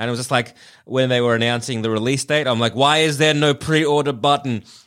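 In an Australian accent, a man of medium pitch speaks at a very fast pace with monotone, flat intonation. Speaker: podcast host. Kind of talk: casual chat.

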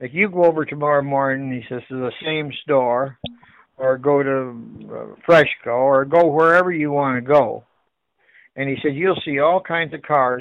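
A man with an Ontario accent, fairly high in pitch, with ordinary pitch variation and a moderate pace. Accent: Ontario Canadian. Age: 70s. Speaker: appliance store owner. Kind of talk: phone conversation. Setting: phone call. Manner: halting.

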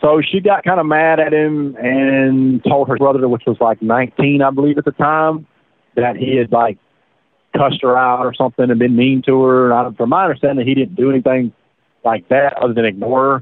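Speaking at a moderate pace with a Southern US accent, a man uses a medium pitch, ordinary pitch variation and very even loudness. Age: 30s. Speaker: prisoner. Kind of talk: interview. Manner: halting.

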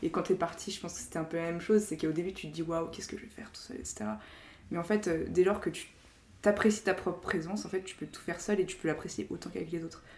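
A woman talks very fast at a fairly low pitch, with vocal fry. Her loudness swings widely. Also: ordinary pitch variation. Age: 20s. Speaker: strategy consultant. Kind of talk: casual chat.

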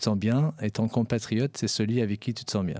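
On a very clean recording with a silent background, a man at a medium pitch speaks at a fairly quick pace with fairly even intonation. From Paris, France (Persian family, arrived age 8). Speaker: entrepreneur. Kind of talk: interview. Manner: halting, many repetitions.

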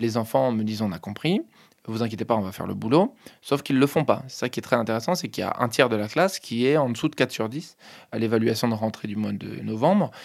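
Very fast male speech with lively intonation on a very clean recording with a silent background. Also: medium pitch for a man. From Paris region (Hauts-de-Seine). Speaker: high school teacher. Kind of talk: interview testimony.

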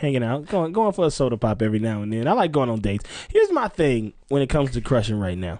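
A man speaks very fast in a dark, mellow tone, his pitch swinging very widely. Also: medium pitch for a man. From Mississippi. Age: 30s. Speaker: improviser and comedy writer. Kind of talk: casual chat. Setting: studio.

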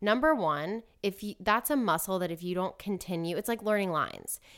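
A woman with a normal speaking voice and an American accent talks at a fairly quick pace with hardly any pauses, at a medium pitch, in a very clean recording with a silent background. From US South, Atlanta, Georgia. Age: 30s. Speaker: actress and dancer. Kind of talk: casual chat.

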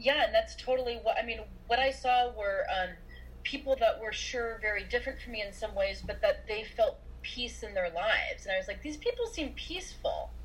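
A woman with an American accent at a fairly quick pace, with noticeable background noise. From US Midwest, Iowa. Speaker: mental health professional. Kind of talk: casual interview. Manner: halting, repeats words.

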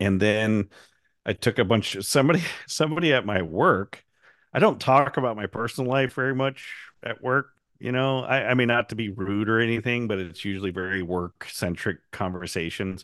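This is an ordinary speaking voice with an American accent and ordinary pitch variation, moving at a fairly quick pace. The background is quiet. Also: man, medium pitch for a man. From US Pacific Northwest, Astoria, Oregon. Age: 50s. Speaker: woodturner, podcast co-host. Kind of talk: casual chat.

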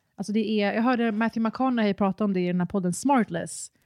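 Recorded very cleanly against a silent background, in a dry, close sound with no echo, a woman uses an ordinary speaking voice at a medium pitch with fairly even intonation. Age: 30s. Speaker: podcast guest co-host. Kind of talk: casual chat.

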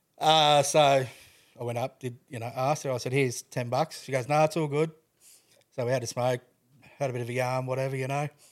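The voice holds a monotone, flat intonation. The recording is very clean, with a silent background. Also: man, medium pitch for a man. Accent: Australian. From Queensland, Australia (Toowoomba). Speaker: widower and cancer carer sharing his story. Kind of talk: casual interview, personal testimony.

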